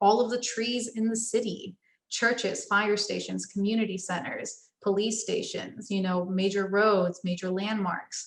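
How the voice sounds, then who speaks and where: Somewhat breathy, a woman speaks at a fairly slow pace. Her medium-pitched voice has a monotone, flat intonation. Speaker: architecture student chapter president. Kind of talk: tutorial.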